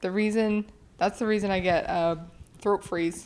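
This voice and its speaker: A woman's normal speaking voice at medium pitch, fairly even in intonation and moderate in pace. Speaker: podcast co-host. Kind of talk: casual comedic chat. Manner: playful, joking.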